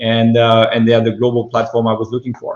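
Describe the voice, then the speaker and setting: Speaking with a French accent, this man's voice sits at a medium pitch. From France. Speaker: venture capital investor. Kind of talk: fireside chat interview. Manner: halting, many fillers.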